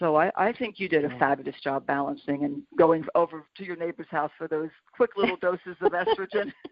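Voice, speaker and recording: A woman's plain, everyday voice, fairly low in pitch, with lively intonation, a fairly quick pace and hardly any pauses. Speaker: radio show host. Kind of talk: radio interview conversation.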